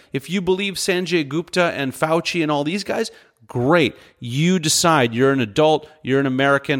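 Here is a man with a plain, everyday voice, pitched fairly high. He talks at a moderate pace with ordinary pitch variation. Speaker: podcast host. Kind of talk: angry rant; solo opinion commentary. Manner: fired up, indignant; direct, conversational.

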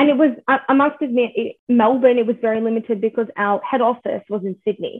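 A woman with an Australian accent, fairly high in pitch, with ordinary pitch variation and a fairly quick pace. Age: 20s. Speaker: makeup artist. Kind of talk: casual chat.

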